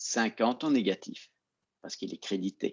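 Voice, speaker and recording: The voice is a man's. It sits at a medium pitch. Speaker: accounting teacher. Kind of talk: online lecture. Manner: slow.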